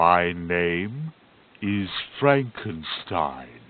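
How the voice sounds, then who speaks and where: A put-on character voice from a man, pitched very deep and low. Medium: audio drama. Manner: earnest, halting, formal.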